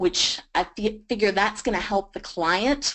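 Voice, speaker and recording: Speaking in a Southern US accent, a woman talks at medium pitch with ordinary pitch variation. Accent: Southern US drawl. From US South, Georgia. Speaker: freelance writer. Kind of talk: webinar presentation.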